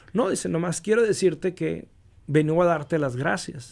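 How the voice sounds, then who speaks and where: Lively intonation marks a man's speech, delivered at a fairly slow pace. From US-Mexico border region. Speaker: radio announcer. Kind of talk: interview answer. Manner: dynamic.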